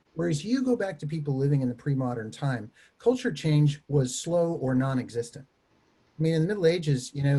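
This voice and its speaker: A man with an American accent speaks at a moderate pace in a fairly high pitch, his tone dark and mellow and somewhat breathy. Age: 60s. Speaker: theology professor. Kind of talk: panel discussion.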